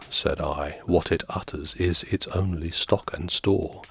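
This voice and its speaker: Very deep and low, a man's somewhat breathy voice moves very slowly with ordinary pitch variation, recorded dry and close with no echo. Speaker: ASMR reader. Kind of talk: ASMR poetry reading.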